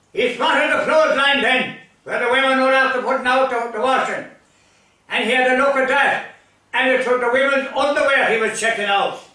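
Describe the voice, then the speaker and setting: A man with an Irish accent, his raised, projected voice at an extremely high pitch, fairly even intonation, a fairly quick pace and audible room echo. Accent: rural Irish (Limerick). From Ireland, County Limerick. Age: 80s+. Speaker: storyteller. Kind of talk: storytelling.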